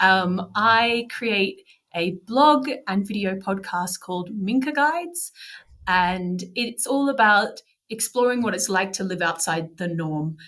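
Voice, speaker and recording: Her intonation is lively and her pitch medium. This woman speaks at a very slow pace. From regional Australia. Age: 40s. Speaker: podcaster and blogger. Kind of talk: interview conversation.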